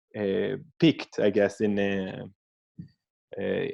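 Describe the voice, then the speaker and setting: A fairly low-pitched man's voice with an Israeli accent. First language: Hebrew. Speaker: scientist. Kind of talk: interview. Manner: halting, many fillers.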